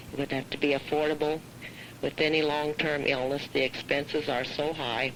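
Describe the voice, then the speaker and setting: A woman's very deep, low voice with a Midwestern US accent, at a moderate pace over noticeable background noise. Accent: US Midwest. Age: 60s. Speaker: farm wife and caregiver. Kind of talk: prepared statement read aloud. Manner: formal.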